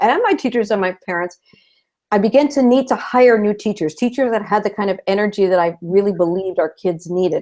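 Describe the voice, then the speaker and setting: Lively intonation marks a woman's medium-pitched voice in a Californian accent. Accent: Californian American English. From Southern California. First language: Spanish. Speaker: retired school principal, new teacher advocate. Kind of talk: interview on a live video show.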